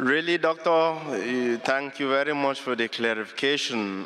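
A man talks at a very slow pace. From Cameroon. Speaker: audience member asking a question; audience member. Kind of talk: audience question at public lecture. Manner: halting. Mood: earnest, polite. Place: hall. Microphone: handheld.

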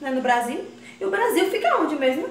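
A woman is speaking. Audible room echo and light background noise are present. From Northeast Brazil. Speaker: comedy vlogger. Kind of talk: casual talk to camera. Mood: proud, playful. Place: bathroom.

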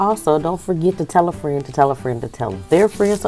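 A woman talks at a fairly quick pace with a very deep, low pitch. Faint music plays in the background. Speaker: food vlogger. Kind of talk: casual vlog chat. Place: home room. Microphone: earbuds.

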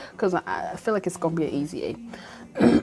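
A woman's fairly low voice with an American accent and ordinary pitch variation, faint music in the background. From Michigan. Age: young. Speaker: university freshman. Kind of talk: casual vlog talk to camera. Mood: stressed, bored, venting. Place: home room. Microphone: lapel.

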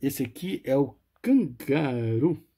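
A somewhat breathy man with a Brazilian accent, a medium pitch and very wide pitch swings. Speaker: auction seller and retro game collector. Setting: video. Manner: animated, enthusiastic, with diminutives like 'bonitinho' and 'lindão'.

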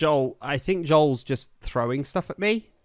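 A man speaks at a fairly slow pace with a Somerset accent over light background noise. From Somerset, England; England. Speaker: streamer. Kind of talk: live gaming stream chat. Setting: online voice chat. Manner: animated. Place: home room. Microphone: studio mic.

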